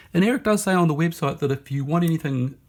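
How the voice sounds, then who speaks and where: Recorded very cleanly against a silent background, a man with a New Zealand accent sounds somewhat breathy, his intonation lively. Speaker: knife reviewer. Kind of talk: casual product review. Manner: halting, many fillers.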